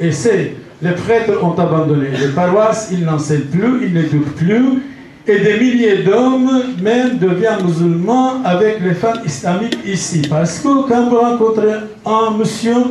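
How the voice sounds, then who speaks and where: A high-pitched man with a non-native accent speaks fairly slowly with lively intonation and very even loudness, amid audible room echo and noticeable background noise. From Aramean community, Middle East. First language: Aramaic (speaking French). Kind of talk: conference talk. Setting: conference hall with audience. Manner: emphatic, impassioned.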